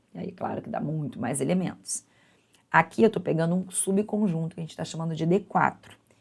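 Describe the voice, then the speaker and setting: Her pitch fairly low, a woman speaks at a moderate pace with ordinary pitch variation and some vocal fry. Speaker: university math teacher. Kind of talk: lecture.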